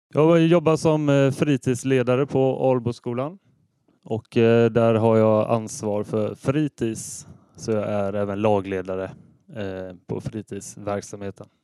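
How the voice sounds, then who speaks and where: With a dry, close sound and no echo, a man of medium pitch speaks very slowly in a dark, mellow tone with ordinary pitch variation. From Sweden, Ale municipality near Gothenburg. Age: 30s. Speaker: football referee. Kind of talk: casual interview.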